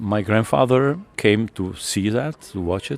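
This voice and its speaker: The voice shows ordinary pitch variation. The sound is dry and close, with no echo. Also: man. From Czech Republic, Teplice. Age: 60s. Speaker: rock musician. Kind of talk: interview. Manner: halting.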